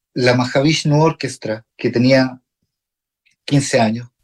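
A man's voice at a medium pitch. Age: 40s. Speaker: jazz guitarist and music teacher. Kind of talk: radio interview. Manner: halting, many repetitions.

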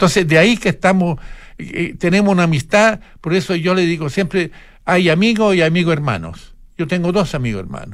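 This man's voice sits high in pitch, with ordinary pitch variation and a fairly quick pace. The recording is very clean, with a silent background. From Italy. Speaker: artist. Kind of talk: interview. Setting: studio.

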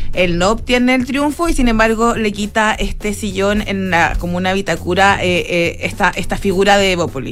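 Over noticeable background noise, a woman with a medium pitch talks at a moderate pace with hardly any pauses and ordinary pitch variation. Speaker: investigative journalist. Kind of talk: interview.

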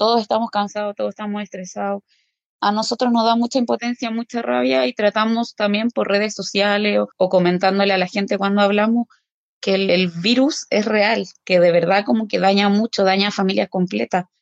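A woman talks in a medium pitch with ordinary pitch variation. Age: 30s. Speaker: intermediate-care nurse. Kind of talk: interview testimony.

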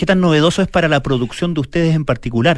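This is a man speaking. He has a Chilean accent. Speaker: radio host. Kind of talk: casual chat. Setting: studio.

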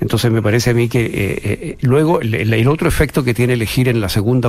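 Through noticeable background noise, a man speaks in a medium pitch with ordinary pitch variation. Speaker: political analyst panelist. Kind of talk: political discussion.

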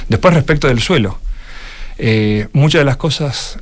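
The speaker talks at a moderate pace with an Argentine accent and ordinary pitch variation. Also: man. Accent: clear Argentine. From Argentina. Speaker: venture capital partner. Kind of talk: radio interview. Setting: studio.

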